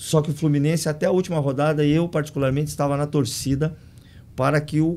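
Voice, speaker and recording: Fairly quick speech from a man, dark and mellow in tone, with fairly even intonation. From Paraná, Brazil (Curitiba); Paraná, Brazil. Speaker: football coach. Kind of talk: podcast interview. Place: studio. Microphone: studio mic.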